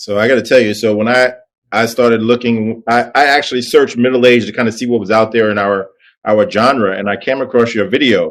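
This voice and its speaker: With a plain, everyday voice, a man at medium pitch talks at a fairly quick pace with fairly even intonation. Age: middle-aged. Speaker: podcast host. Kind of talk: casual chat.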